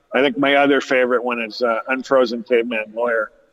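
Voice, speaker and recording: With a Californian accent, a man speaks at a moderate pace. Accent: Californian American. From Southern California. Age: 60s. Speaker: cannabis grower and actor's brother. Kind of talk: interview. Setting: cannabis lounge radio studio. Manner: halting, many fillers.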